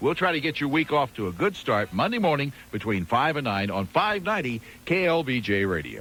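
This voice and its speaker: Fairly quick speech from a man with a fairly high pitch and very wide pitch swings, music in the background. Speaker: radio host. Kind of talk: radio station promo.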